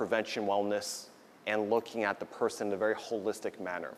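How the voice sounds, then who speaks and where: A man speaks with a New Jersey accent. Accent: New Jersey American English. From US Northeast, New Jersey. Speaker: doctor giving a talk. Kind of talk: lecture. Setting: stage with audience at a potluck. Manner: loud.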